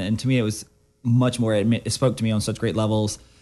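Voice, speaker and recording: A man talks very fast with music in the background. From Mississippi. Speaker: gallery owner and photographer. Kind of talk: casual chat. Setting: radio studio.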